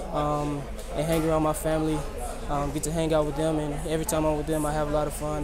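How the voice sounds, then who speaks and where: A man with an American accent, fairly high in pitch, at a very fast pace over noticeable background noise. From United States. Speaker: sprinter. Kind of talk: interview answer. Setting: trackside after a race. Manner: soft-spoken. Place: stadium.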